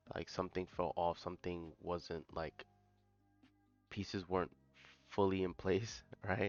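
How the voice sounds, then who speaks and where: A man's very deep, low voice, fairly even in intonation, with long, frequent pauses and music in the background. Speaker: trading youtuber. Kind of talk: casual vlog talk to camera. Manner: hesitant, many fillers.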